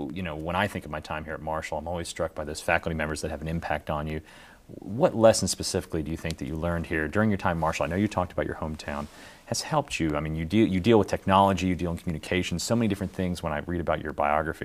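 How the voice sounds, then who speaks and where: At a very fast pace, the words go by with fairly even intonation. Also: man. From West Virginia. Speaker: interviewer. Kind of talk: interview.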